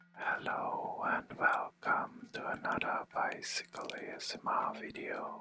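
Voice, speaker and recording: Whispering at a very slow pace with hardly any pauses, over music in the background. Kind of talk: ASMR whispering narration about a cycling trip. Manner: whispered.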